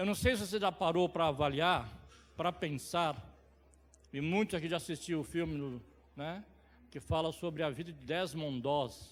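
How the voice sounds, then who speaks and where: Moderately paced speech from a man with a fairly high voice, ordinary pitch movement, and long, frequent pauses. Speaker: lay preacher. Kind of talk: sermon. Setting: church service.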